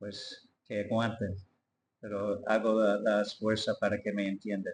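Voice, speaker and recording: A man with an English accent talks at a fairly slow pace in a fairly low pitch. His intonation is monotone and flat. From US, Detroit. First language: English (speaking Spanish). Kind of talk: testimony. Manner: halting.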